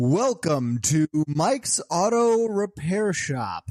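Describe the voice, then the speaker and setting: Speaking very slowly in a put-on character voice, a man uses a high pitch with very wide pitch swings. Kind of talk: salesy announcer tone.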